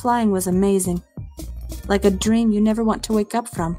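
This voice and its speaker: With music in the background, a woman talks at a moderate pace with fairly even intonation. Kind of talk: scary story narration.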